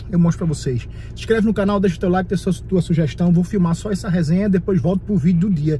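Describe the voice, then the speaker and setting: A very fast pace with ordinary pitch variation, a dry sound with no echo, and light background noise. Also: man. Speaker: vlogger. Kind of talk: casual vlog chat. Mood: worried, exasperated. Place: car. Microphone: phone near.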